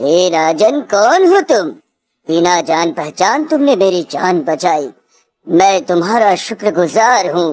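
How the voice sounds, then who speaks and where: Using a cartoonish character voice at a medium pitch, a woman speaks at a fairly slow pace with very even loudness and very wide pitch swings. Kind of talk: devotional sage speech. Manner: solemn, measured.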